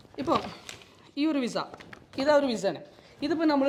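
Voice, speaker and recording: A man's voice against noticeable background noise. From Malappuram, Kerala. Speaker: vlogger and visa services officer. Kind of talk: casual vlog. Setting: outdoors in a park.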